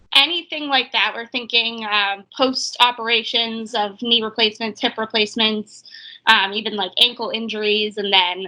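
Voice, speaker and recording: In a Boston accent, a woman speaks at a fairly high pitch with a bright, sharp tone. Her intonation is fairly even and her pace moderate. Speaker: physical therapist, startup founder. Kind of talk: interview.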